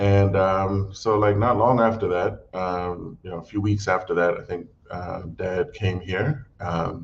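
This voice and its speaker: The speaker talks at a fairly slow pace with an American accent, fairly even intonation and hardly any pauses. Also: man. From South Africa (Johannesburg), early childhood in US. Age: 40s. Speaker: political party policy head. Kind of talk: interview. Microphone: intermittent connection.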